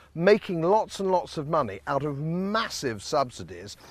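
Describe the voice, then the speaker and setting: On a very clean recording with a silent background, a man with a British accent speaks at a fairly high pitch with lively intonation. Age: 60s. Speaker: politician. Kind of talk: documentary introduction. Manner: emphatic.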